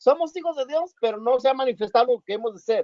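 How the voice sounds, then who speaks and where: A man at an extremely high pitch, moderate in pace, with ordinary pitch variation. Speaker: bible study teacher. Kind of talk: bible study.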